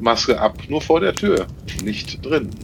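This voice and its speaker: A man talks at a fairly slow pace with ordinary pitch variation amid noticeable background noise. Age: 50s. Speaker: optician and camper. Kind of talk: casual group chat.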